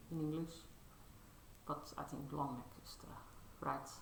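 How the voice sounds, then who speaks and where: Mumbling at a very slow pace, the voice carries audible room echo. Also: woman. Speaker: cross-stitch vlogger. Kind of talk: casual show-and-tell vlog. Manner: halting, many fillers.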